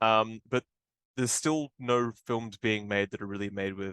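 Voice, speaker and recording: With an Australian accent, a man speaks at a moderate pace in a medium pitch with fairly even intonation, the sound dry and close with no echo against a quiet background. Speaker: film director. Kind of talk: interview. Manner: casual, many fillers.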